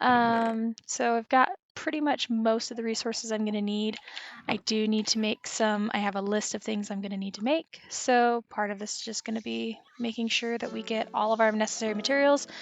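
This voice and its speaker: A woman's plain, everyday voice, fairly high in pitch, fairly quick and fairly even in intonation. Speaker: gaming YouTuber. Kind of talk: casual gameplay commentary.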